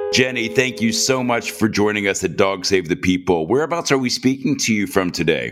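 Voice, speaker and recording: Over music in the background, a man talks at a fairly quick pace with hardly any pauses, his fairly low voice kept at very even loudness while his intonation stays lively. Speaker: podcast host. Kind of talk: interview chat.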